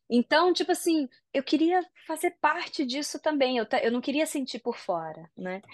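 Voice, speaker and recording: A woman with a high pitch speaks at a moderate pace. Her intonation is lively, and the background is quiet. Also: dry, close sound with no echo. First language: Japanese (speaking Portuguese). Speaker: singer and voice actress. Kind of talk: interview. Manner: casual, hesitant.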